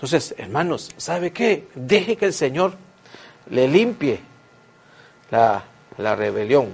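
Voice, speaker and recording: This man talks at a very slow pace, his pitch swinging very widely, with long, frequent pauses. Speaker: preacher. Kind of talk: sermon. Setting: church. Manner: animated, earnest, exhorting with repetition.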